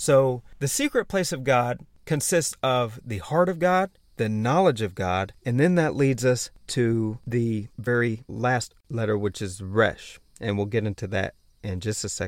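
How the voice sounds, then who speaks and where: An animated man's voice at a medium pitch, fairly slow with lively intonation, on a very clean recording with a silent background. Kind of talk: religious teaching monologue. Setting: outdoors.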